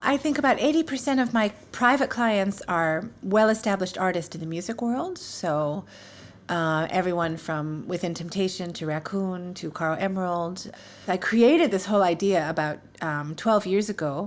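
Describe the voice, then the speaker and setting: A woman with a New York accent speaks at a moderate pace in a medium pitch, her intonation lively. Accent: New York American. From US, New York. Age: 40s. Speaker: English teacher. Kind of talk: interview. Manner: animated.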